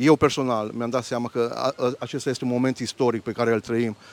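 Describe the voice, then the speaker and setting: Recorded with a dry, close sound and no echo, a man speaks at a moderate pace in a medium pitch with monotone, flat intonation. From Romania, Arad. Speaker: church deacon. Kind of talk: interview. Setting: outdoors.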